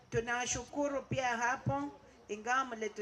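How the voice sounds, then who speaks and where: A woman is talking, with noticeable background noise behind her. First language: French. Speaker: visiting speaker. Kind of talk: vote of thanks speech.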